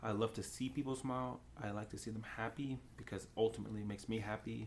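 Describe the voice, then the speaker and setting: Somewhat breathy and medium in pitch, a man speaks at a very fast pace. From England. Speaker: podcast guest. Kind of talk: casual chat. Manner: animated.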